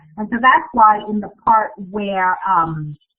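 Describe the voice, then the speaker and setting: Speaking with a Vietnamese accent, a woman uses a fairly high voice with ordinary pitch variation. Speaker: author. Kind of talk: Q&A with students.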